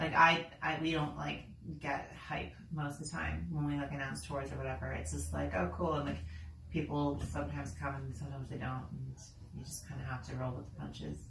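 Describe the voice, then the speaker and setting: A woman's very deep, low voice at a fairly quick pace, with noticeable background noise. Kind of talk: casual vlog chat. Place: home room. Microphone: camera far.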